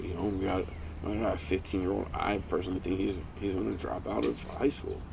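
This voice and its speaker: A man's very deep, low-pitched voice. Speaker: podcast co-host, parent. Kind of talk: casual chat. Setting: home recording, backyard. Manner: quiet, lowered voice at moments.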